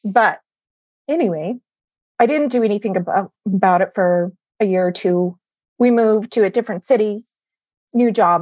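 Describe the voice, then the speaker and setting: A woman speaks at a moderate pace with long, frequent pauses. Her medium-pitched voice has ordinary pitch variation and a dry, close sound with no echo. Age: 40s. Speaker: functional medicine practitioner. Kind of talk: casual interview.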